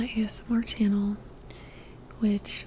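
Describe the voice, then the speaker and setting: The speaker is whispering in a soft-spoken way. Background noise is noticeable. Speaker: former teacher; ASMR creator. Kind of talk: ASMR whisper and soft-spoken ramble; casual talk to camera. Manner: whispered, soft-spoken.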